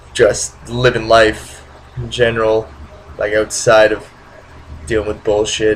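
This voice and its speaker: A man is talking, and noticeable background noise comes through. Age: 20s. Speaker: vlogger. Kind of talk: casual vlog monologue. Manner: halting, many fillers.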